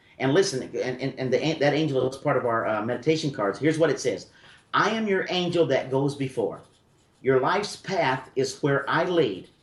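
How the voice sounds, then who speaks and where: With lively intonation and a fairly high pitch, a somewhat breathy man speaks at a moderate pace. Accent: American. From US South (Memphis, Tennessee). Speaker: spiritual medium radio host. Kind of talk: call-in radio reading. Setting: radio studio.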